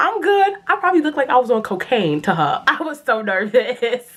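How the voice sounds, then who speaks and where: A woman speaks in an animated tone at a moderate pace, her pitch swinging very widely. Noticeable background noise runs behind her. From New York City. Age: 20s. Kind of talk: casual storytime talk to camera. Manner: animated, expressive.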